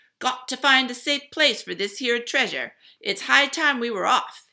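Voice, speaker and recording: Putting on a character voice, a woman bellows at a high pitch with a raised, projected voice. She keeps a moderate pace, and the recording is very clean with a silent background. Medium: read story. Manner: bellowing, rowdy.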